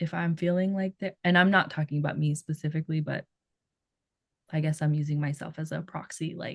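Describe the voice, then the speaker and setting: A woman's somewhat breathy, fairly low voice, fairly quick, with ordinary pitch variation and a dry, close sound free of echo. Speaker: podcast co-host. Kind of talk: casual podcast discussion. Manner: relaxed, many filler words.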